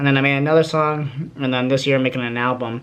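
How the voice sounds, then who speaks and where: A man's medium-pitched voice, monotone and flat, at a fairly quick pace. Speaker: YouTuber giving life advice. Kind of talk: casual vlog talk to camera. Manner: fast; halting, many fillers.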